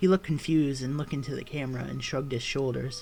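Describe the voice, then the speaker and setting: With background music playing, the words come at a fairly quick pace. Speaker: creepypasta narrator. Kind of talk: horror story reading. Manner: stuttering, with stumbles.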